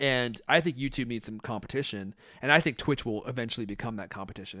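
With an American accent, a man has a plain, everyday voice at a medium pitch with ordinary pitch variation. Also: very clean recording, silent background. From Redmond, Washington, US Pacific Northwest. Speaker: podcast host. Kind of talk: casual interview chat.

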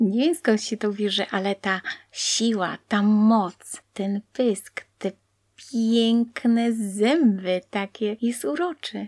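At a very slow pace, a woman speaks with a fairly high pitch and ordinary pitch variation in a dry, close sound with no echo. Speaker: blind interviewee sharing life story. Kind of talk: interview, personal testimony.

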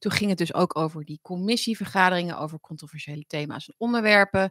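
A woman talks at a very fast pace with ordinary pitch variation. The sound is dry and close with no echo, on a very clean recording with a silent background. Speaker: political commentary livestream host. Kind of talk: casual livestream monologue.

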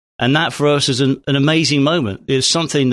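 The delivery runs at a fairly quick pace, with a dry, close sound and no echo. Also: man. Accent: southern English. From southern England (Hampshire). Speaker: former police officer. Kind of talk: casual chat.

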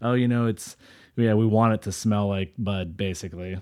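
This man has a normal speaking voice with fairly low pitch and fairly even intonation. He talks at a fairly quick pace in a very clean recording with a silent background. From US Central Valley, California. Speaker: podcast host. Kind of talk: casual interview chat.

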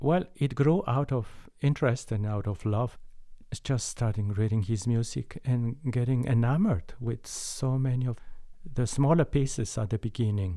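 A man with a Mexican accent talks at a moderate pace and medium pitch, in a warm, dark, mellow tone. The recording is very clean, with a silent background. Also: ordinary pitch variation. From Mexico. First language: Spanish. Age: 70s. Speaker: concert pianist. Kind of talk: interview conversation. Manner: warm, laughs often.

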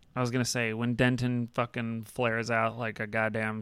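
A man's medium-pitched voice, flat and monotone, at a fairly quick pace, in a very clean recording against a silent background. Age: 30s. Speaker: podcast host. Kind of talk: casual chat.

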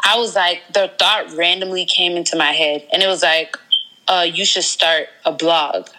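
Over noticeable background noise, a woman talks at a moderate pace and medium pitch with fairly even intonation. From Georgia, US South. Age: 20s. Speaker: blogger and entrepreneur. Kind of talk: interview.

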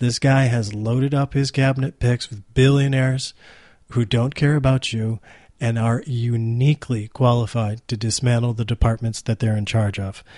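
A man with an American accent speaks at a moderate pace in a dark, mellow, somewhat breathy voice with fairly even intonation. The sound is dry and close with no echo, over a quiet background. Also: medium pitch for a man. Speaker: podcast host. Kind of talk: podcast monologue and interview. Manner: halting.

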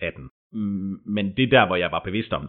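This man talks at a moderate pace. His pitch sits fairly low. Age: 30s. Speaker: furniture maker recovering from stress. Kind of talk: personal testimony interview. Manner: hesitant, many fillers.

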